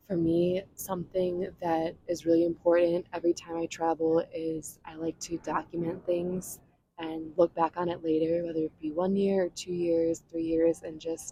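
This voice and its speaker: Soft-spoken and monotone, a woman with a dark, mellow tone and fairly low pitch speaks at a moderate pace with flat intonation and hardly any pauses. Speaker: ASMR creator. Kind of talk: ASMR travel storytelling to camera. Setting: outdoors, beach.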